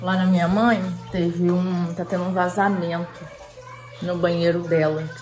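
A woman's fairly low-pitched voice at a fairly slow pace, with crowd noise in the background. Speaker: family vlogger. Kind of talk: casual vlog chat. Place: home room. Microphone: phone near.

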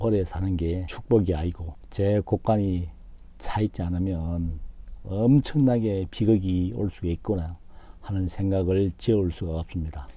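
A dark, mellow, somewhat breathy voice with ordinary pitch variation at a fairly slow pace. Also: man, very deep, low pitch for a man. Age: 50s. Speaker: YouTuber. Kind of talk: vlog monologue. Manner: formal.

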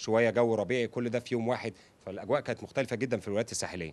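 This is a man's voice. His pitch is medium. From Egypt. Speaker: YouTuber. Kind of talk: interview. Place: home room. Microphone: handheld.

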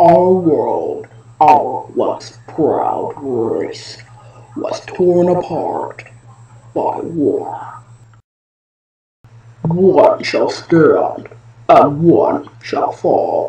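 In a raspy, put-on character voice, the speaker goes very slowly, with long, frequent pauses. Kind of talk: movie trailer. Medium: voice reel. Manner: slow, solemn.

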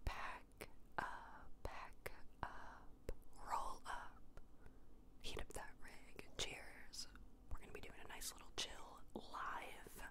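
Whispering in a relaxed tone, the speaker goes very slowly with long, frequent pauses. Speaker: ASMR gaming streamer. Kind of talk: casual gaming commentary, whispered ASMR ramble. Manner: whispered, chill, relaxed. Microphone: studio mic.

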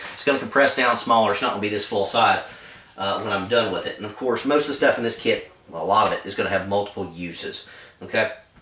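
Very fast male speech, with noticeable echo from the room. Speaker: outdoor gear reviewer. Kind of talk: casual vlog rant. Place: home room. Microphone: camera far.

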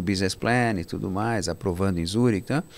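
A man speaks with ordinary pitch variation. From Brazil (born in Cairo, Egypt, moved as small child). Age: 60s. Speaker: real estate fund manager; guest. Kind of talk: interview. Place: studio. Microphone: studio mic.

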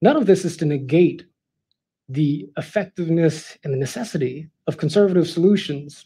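Delivered at a moderate pace in an American accent, the voice has a dark, mellow tone and ordinary pitch variation. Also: man, high pitch for a man. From Los Angeles, California. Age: 30s. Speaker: political commentator. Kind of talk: prepared speech. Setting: live event with audience. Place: hall. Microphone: headset.

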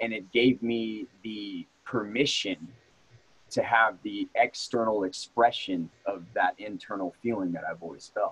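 A man has a plain, everyday voice at a medium pitch. He talks at a fairly slow pace with ordinary pitch variation. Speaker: martial arts instructor. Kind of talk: casual interview. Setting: in person, same room.

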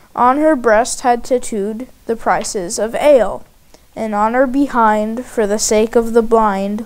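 Here an unforced reading voice is heard. The words are read aloud.

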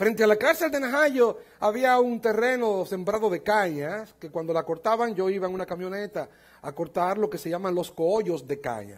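A man speaks at a moderate pace. His pitch sits high for a man. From Dominican Republic. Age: 50s. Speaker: pastor. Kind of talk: sermon. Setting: church conference with audience. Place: church. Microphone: headset.

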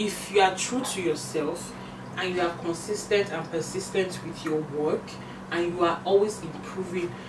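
Against noticeable background noise, a woman with a Nigerian accent talks at a moderate pace. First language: not English. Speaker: beauty YouTuber and influencer. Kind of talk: casual monologue with makeup tutorial. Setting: home. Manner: animated, chatty. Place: home room. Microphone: camera far.

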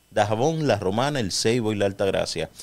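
A man with an unremarkable speaking voice, fairly low in pitch, with lively intonation. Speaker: radio co-host. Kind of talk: radio talk show discussion. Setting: radio studio.

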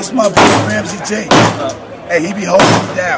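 Audible room echo surrounds a man speaking at a moderate pace in a high pitch with fairly even intonation.

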